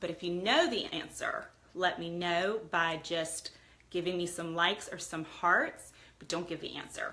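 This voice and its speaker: Over noticeable background noise, a woman with a fairly low pitch talks at a moderate pace in a monotone, flat intonation, her loudness swinging widely. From US, Italian immigrant household. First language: Italian. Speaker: lifestyle livestreamer. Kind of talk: casual livestream chat. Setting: live video stream.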